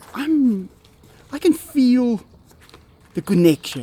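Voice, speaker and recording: Someone speaks with an Afrikaans accent over noticeable background noise. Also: man. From South Africa. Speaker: big cat keeper. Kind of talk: casual talk to camera.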